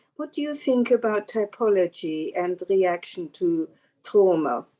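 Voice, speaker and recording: Dark, mellow tone from a woman with an Austrian accent, lively intonation and a fairly slow pace. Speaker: audience member. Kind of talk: Q&A question.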